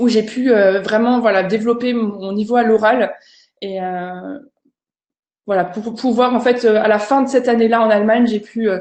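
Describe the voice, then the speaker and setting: The woman's voice has a fairly high pitch and fairly even intonation. She keeps to a moderate pace. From France, Alsace. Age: 30s. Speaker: language teacher and online content creator. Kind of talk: online conference presentation. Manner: hesitant, many fillers.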